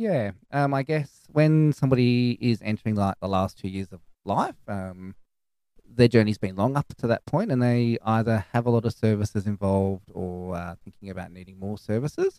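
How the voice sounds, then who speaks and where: A man with a dark, mellow tone and fairly low pitch speaks at a moderate pace with ordinary pitch variation and big swings in loudness, in a dry, close sound with no echo. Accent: Australian. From Australia, far west New South Wales. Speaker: clinical nurse specialist. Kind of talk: interview.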